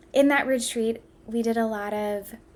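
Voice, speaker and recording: A woman speaks with a Midwestern American accent at a fairly high pitch. Her pace is fairly slow. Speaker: podcast host. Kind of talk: solo podcast talk.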